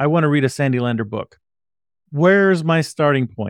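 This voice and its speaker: An unremarkable speaking voice from a man with a fairly high pitch and lively intonation, moderate in pace, dry and close with no echo over a quiet background. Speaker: podcast host. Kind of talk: casual interview chat.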